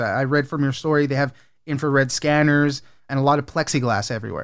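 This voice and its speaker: A man with a plain, everyday voice and fairly high pitch talks at a moderate pace on a very clean recording with a silent background. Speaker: news podcast host. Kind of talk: news reading. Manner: formal.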